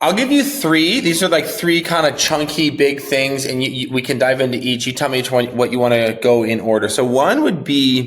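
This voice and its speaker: Using an American accent, a man talks at a moderate pace with hardly any pauses, his medium pitch showing ordinary variation. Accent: sounds American rather than Canadian. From Canada. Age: 30s. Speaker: marketing director and podcast host, guest. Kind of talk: interview conversation.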